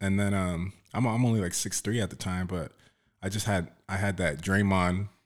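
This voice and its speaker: In a normal speaking voice, a man with an American accent talks at a moderate pace, his fairly low pitch held in fairly even intonation. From South Oxnard, California. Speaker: bodyguard, former college basketball player. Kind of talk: casual interview. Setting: studio.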